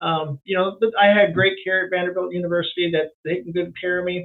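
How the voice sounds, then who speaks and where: With a West Coast US accent, a man with a high pitch speaks at a moderate pace and fairly even intonation. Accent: General American, West Coast. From Elk Grove, California. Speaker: retiring sprint car racer. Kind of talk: radio interview. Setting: phone call. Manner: halting, repetitive.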